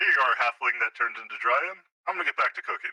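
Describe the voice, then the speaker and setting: A man performs a put-on character voice. He rattles along at a very fast pace. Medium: actual play. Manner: deadpan.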